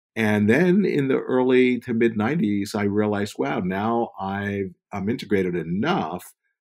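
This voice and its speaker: Heard on a very clean recording with a silent background, a man talks at a fairly slow pace in a plain, everyday voice with a fairly low pitch. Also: lively intonation. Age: 60s. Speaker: spiritual author and healer. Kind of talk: interview.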